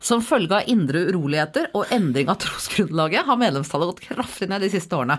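Her tone is animated, with very wide pitch swings at a fairly low pitch for a woman and a fairly quick pace. The recording is very clean, with a silent background. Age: 40s. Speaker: podcast co-host. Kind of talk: casual chat. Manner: animated, laughing.

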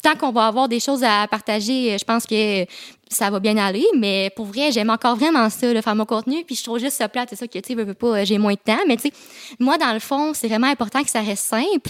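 A woman's fairly high voice at a fairly quick pace, with ordinary pitch variation and a dry, close sound free of echo. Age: 20s. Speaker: YouTuber and content creator. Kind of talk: casual chat. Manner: fast.

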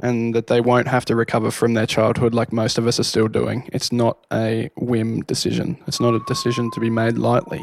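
A man speaks with an Australian accent and fairly even intonation, hardly pausing at all. Noticeable background noise runs underneath. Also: medium pitch for a man, fairly quick pace. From Hobart, Tasmania. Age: 20s. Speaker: wedding photographer. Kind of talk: casual chat.

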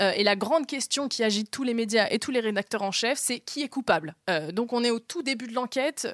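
A woman with a plain, everyday voice talks at a fairly quick pace with lively intonation and a fairly high pitch, the sound dry and close with no echo. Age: 20s. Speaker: journalist, podcaster. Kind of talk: casual storytelling.

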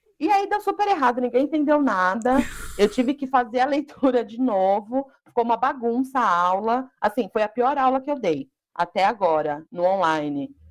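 A high-pitched woman speaks at a moderate pace. Her pitch swings very widely. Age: 20s. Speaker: Portuguese teacher. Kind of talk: casual chat.

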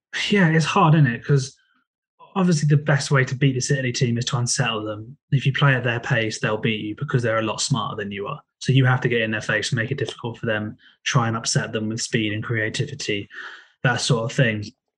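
In an English accent, a man speaks at a very fast pace, his voice somewhat breathy. His pitch sits at a medium level with ordinary variation. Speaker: football podcast co-host. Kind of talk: casual football podcast discussion.

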